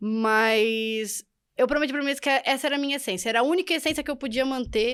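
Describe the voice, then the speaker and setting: A high-pitched woman's voice at a very fast pace with lively intonation. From Brazil. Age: young. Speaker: podcast guest, immigrant. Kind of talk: interview.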